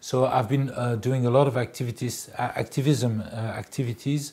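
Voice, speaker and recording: Somewhat breathy and in a French accent, the voice moves at a moderate pace with ordinary pitch variation. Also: man. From France. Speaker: public relations specialist. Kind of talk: interview monologue. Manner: halting, many fillers.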